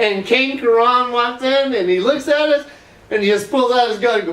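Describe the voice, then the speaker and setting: With noticeable background noise and audible room echo, a man in a Southern US accent speaks at a fairly slow pace in an extremely high pitch with ordinary pitch variation. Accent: Southern drawl. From US South, Florida. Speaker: internet dancer. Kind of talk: casual interview chat.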